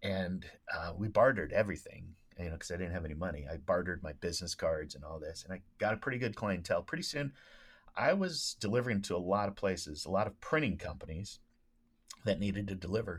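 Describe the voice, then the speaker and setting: A man with a fairly low, somewhat breathy voice talks at a very fast pace, with lively intonation and big swings in loudness. The recording is very clean, with a silent background. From Oregon, US. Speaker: speech and debate coach. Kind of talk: casual interview.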